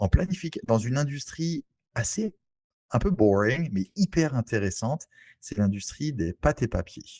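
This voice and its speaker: A man at a medium pitch speaks with very wide swings in pitch and a somewhat breathy voice, recorded dry and close with no echo. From French Antilles (Saint-Barthélemy). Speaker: real estate investor. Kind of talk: interview. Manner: halting.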